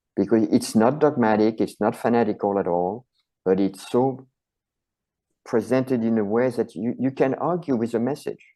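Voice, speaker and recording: A man with a French accent, medium pitch, ordinary pitch variation and a moderate pace. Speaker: chiropractor and author. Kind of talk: interview conversation.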